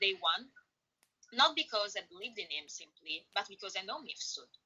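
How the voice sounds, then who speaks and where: Speaking at a fairly quick pace, a woman with an Italian accent has a fairly high pitch. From Italy. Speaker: interview guest. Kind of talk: interview. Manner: halting, many fillers.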